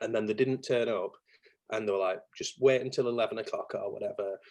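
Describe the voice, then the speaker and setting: A man with a strong Yorkshire accent, talking at a fairly quick pace. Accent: thick Yorkshire. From Yorkshire, northern England. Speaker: marketing business owner, chopper enthusiast. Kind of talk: casual chat. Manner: animated.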